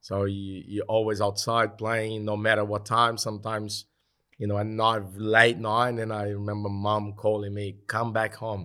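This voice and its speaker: On a very clean recording with a silent background, a man speaks in a Brazilian accent at a moderate pace. His voice is fairly low in pitch, bright and sharp in tone, with monotone, flat intonation. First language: Portuguese. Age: 40s. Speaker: retired professional footballer. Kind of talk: casual interview. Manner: halting, repeats words.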